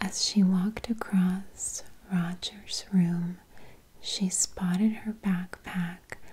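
A soft-spoken woman talks at a very slow pace. Her intonation stays monotone and flat. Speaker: bedtime story reader. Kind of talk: soft bedtime story reading. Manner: soft, hushed ASMR storytelling voice. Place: home room.

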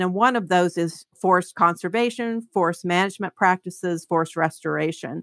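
With an unremarkable speaking voice, a woman with an American accent speaks at a moderate pace in a medium pitch with ordinary pitch variation, recorded dry and close with no echo. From Kentucky, small town on the Ohio River. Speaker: economist. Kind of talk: interview.

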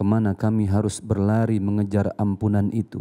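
A man speaks in a dark, mellow, fairly low voice at a moderate pace with monotone, flat intonation against a quiet background. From Indonesia. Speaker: preacher. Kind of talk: prayer. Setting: studio. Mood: solemn, devout. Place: studio. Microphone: handheld.

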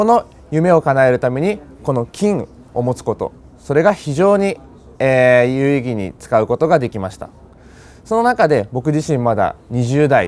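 Speaking at a moderate pace, a man with a fairly high pitch makes very wide pitch swings. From Japan. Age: 20s. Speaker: customer testimonial speaker; speaker. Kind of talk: testimony. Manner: hesitant, frequent fillers. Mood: earnest, motivational. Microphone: lapel.

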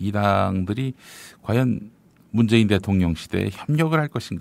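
Here is a man with an unremarkable speaking voice, fairly low in pitch. His intonation is lively, his pace moderate, and the recording very clean with a silent background. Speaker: podcast news show host. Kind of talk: news commentary and interview. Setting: studio. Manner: formal.

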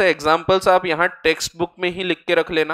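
A man with a high voice speaks in a bright, sharp tone at a moderate pace. His intonation is monotone and flat, against a quiet background. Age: 30s. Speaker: chartered accountant and exam-prep lecturer; exam-prep lecturer. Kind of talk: lecture. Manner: casual, conversational Hinglish. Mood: relaxed, friendly, joking.

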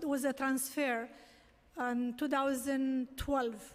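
A woman speaks very slowly. Her pitch is high. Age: 60s. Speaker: taxi medallion owner testifying at a hearing. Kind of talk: public testimony. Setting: city council hearing. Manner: halting. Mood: distressed, pleading. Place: hall. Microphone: podium.

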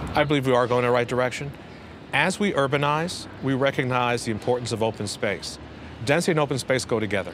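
A man with a New York accent speaks at a very fast pace with ordinary pitch variation. The sound is dry with no echo, with light background noise. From Brooklyn, New York. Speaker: city parks commissioner. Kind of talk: interview. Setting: rooftop garden outdoors. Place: street. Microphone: lapel.

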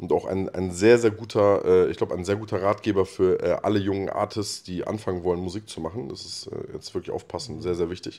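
Talking at a fairly quick pace with hardly any pauses, a man lets his loudness swing widely. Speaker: rapper. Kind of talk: casual chat. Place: studio. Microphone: handheld.

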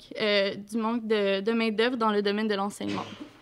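A woman with a Quebec accent speaks over a quiet background. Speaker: student activist. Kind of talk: talk to an audience. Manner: halting. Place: classroom. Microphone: podium.

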